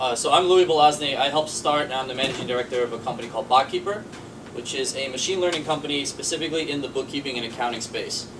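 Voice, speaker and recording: Very fast delivery with ordinary pitch variation over noticeable background noise. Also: man. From Boston. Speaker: startup managing director. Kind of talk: panel discussion.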